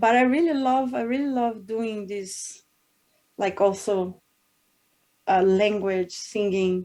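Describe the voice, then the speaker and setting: Long, frequent pauses break up a woman's very slow speech. Her medium-pitched voice shows ordinary pitch variation. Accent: Portuguese. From northern Brazil, Belém, Pará. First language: Portuguese. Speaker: singer. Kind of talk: interview. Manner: halting.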